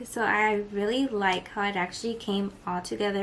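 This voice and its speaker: A woman talks quietly at a medium pitch and a moderate pace. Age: 20s. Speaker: beauty vlogger. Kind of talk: makeup tutorial and Q&A. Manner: casual.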